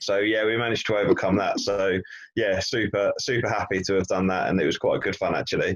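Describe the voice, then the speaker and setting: A man is speaking. He has an English accent. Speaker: business training podcast co-presenter. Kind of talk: casual chat.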